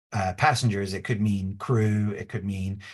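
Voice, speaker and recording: The man's voice is somewhat breathy. His pace is moderate. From England. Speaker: design consultant. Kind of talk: webinar presentation. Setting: online webinar. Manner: casual, filler-heavy.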